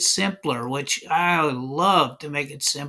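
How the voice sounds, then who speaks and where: Here is a man with a fairly high pitch. He talks at a very slow pace, with ordinary pitch variation. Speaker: math and physics teacher. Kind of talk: whiteboard tutorial. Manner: slow, deliberate.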